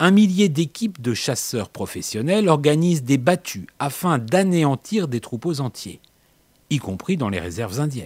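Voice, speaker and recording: At a fairly slow pace, a man speaks with a fairly high pitch and very wide pitch swings. The recording is very clean, with a silent background. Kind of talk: scripted narration. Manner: dramatic, wry.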